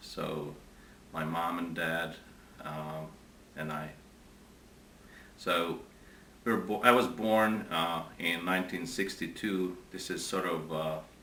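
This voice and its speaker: A man speaks at a very slow pace with a very deep, low pitch and long, frequent pauses. Noticeable background noise and audible room echo fill the recording. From Hungary, Budapest. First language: Hungarian. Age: 40s. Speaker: interviewee. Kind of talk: interview. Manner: halting.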